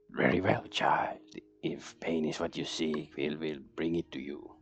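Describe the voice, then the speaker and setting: A man whispers and cackles in a put-on character voice. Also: moderate pace. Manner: cackling, menacing.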